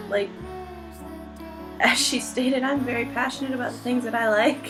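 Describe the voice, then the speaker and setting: Music plays behind the speaker. She is a woman with a high pitch. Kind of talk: casual Q&A talk to camera.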